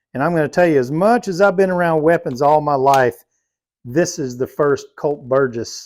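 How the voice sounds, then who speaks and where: A man in an unremarkable speaking voice, with ordinary pitch variation, a moderate pace and a very clean recording over a silent background. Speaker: cowboy leatherworker. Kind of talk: casual shop tour talk.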